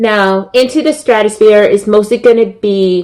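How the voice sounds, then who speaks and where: At a fairly slow pace, a woman speaks. Her pitch variation is ordinary. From San Francisco Bay Area, California. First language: Spanish. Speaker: wrestling podcast host. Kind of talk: podcast commentary. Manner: many filler words.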